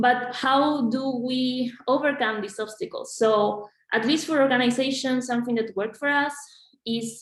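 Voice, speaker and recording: Fairly even intonation marks this speech in a Spanish accent. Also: woman, high pitch for a woman, moderate pace. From Argentina. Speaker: graduate student organization leader. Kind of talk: panel discussion. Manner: halting, many fillers and repetitions.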